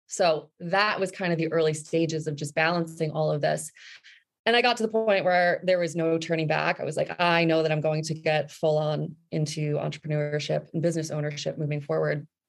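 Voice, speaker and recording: A woman with an American accent, very deep and low in pitch, fairly quick in pace, with fairly even intonation. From New Jersey. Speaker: marketing consultant, business owner. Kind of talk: interview.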